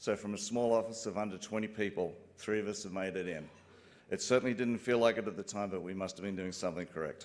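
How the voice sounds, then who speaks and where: Talking at a very fast pace, a man has an Australian accent. His fairly low voice keeps fairly even intonation. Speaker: broadcast engineer, company co-founder. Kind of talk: acceptance speech. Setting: stage with audience.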